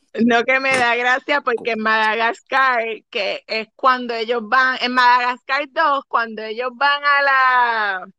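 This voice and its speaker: A woman speaks very slowly in a high, bright, sharp voice with fairly even intonation, the sound dry and close with no echo. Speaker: podcast co-host. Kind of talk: casual chat.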